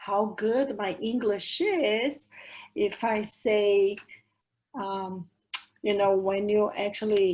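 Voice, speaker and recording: A woman with a Brazilian accent speaks very slowly at a medium pitch, with ordinary pitch variation and long, frequent pauses. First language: Portuguese. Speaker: language educator. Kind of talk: academic discussion.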